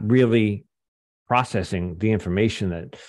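Against a quiet background, a man talks at a moderate pace. His medium-pitched voice has lively intonation. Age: 60s. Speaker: guest sharing recovery and relationship story. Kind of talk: interview testimony. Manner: halting, with many repeated words.

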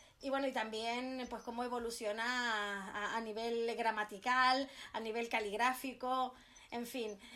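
Speaking at a fairly slow pace, a woman has a bright, sharp tone and monotone, flat intonation. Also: fairly high pitch for a woman. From Canary Islands, Spain (Tenerife). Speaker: writer. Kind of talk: interview.

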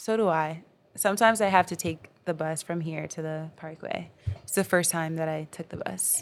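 A woman speaks at a moderate pace in a fairly low pitch with fairly even intonation. Her loudness swings widely, and music plays in the background. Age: 20s. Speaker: educator and poet. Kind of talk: casual interview chat. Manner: filler-heavy, conversational.

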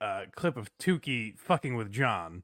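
A man with an American accent speaks at a fairly slow pace, his pitch swinging very widely in a bright, sharp tone. The recording is very clean with a silent background and a dry, close sound with no echo. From US Northeast, western Massachusetts. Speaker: podcaster, blind. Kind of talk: casual chat.

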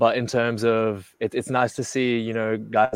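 Speaking with an Australian accent, a man uses a monotone, flat intonation at a fairly low pitch and a moderate pace. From Australia, Melbourne. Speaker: basketball player. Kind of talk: casual chat.

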